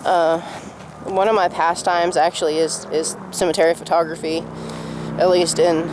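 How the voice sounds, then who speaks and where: Someone mumbles at a moderate pace over noticeable background noise. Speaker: vlogger. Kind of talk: casual vlog. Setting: outdoors in cemetery. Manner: mumbling.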